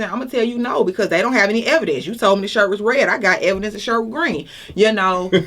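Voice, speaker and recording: Against noticeable background noise, a woman with an Atlanta accent talks very fast at a fairly high pitch. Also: ordinary pitch variation. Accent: Southern US (Atlanta). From Atlanta, Georgia. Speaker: judicial candidate, defense attorney. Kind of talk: interview answer.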